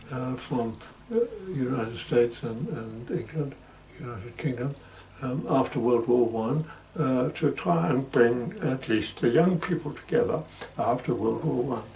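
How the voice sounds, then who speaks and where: A fairly slow-paced man amid noticeable background noise. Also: medium pitch for a man, ordinary pitch variation. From Germany, Hamburg. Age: 90s. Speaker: interviewee recounting life story. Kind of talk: oral history interview. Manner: halting, many fillers.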